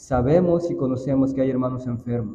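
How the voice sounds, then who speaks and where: With a dark, mellow tone, a man talks at a medium pitch and fairly slow pace, somewhat breathy, with fairly even intonation and audible room echo. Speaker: church elder. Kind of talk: prayer.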